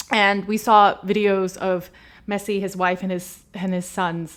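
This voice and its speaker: In a very clean recording with a silent background, a woman with an American accent speaks at a fairly slow pace and a medium pitch. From USA. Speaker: football podcast host. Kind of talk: casual commentary monologue. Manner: animated.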